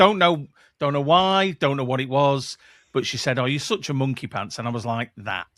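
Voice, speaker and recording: On a very clean recording with a silent background and a dry, close sound with no echo, a man with a Mancunian accent speaks at medium pitch with lively intonation. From northern England, Manchester. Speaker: podcast producer and former radio presenter. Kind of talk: casual interview chat.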